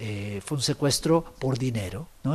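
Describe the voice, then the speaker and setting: Somewhat breathy, a man of medium pitch speaks at a moderate pace. His intonation is lively. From Guatemala. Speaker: writer. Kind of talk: interview. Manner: halting, repeats words.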